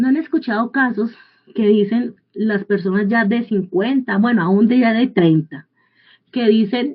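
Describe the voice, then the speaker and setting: A woman with a plain, everyday voice speaks fairly slowly at a fairly high pitch, keeping very even loudness and ordinary pitch variation. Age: 40s. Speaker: Bible teacher. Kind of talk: sermon.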